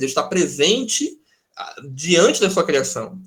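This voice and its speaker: Using very wide pitch swings, a man talks at a moderate pace in a high pitch. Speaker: pastor teaching a Bible study. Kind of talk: online Bible study lecture with Q&A.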